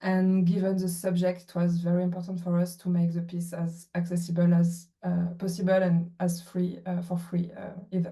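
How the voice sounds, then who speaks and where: Somewhat breathy, dark and mellow in tone, flat monotone intonation, a French accent, and audible room echo. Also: woman, fairly low pitch for a woman, moderate pace. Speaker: VR producer. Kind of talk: panel introduction. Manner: halting, many fillers.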